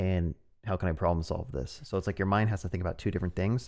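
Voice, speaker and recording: A man at a fairly quick pace with ordinary pitch variation, in a very clean recording with a silent background. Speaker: programming streamer. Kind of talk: live coding stream. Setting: live stream. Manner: fast; halting.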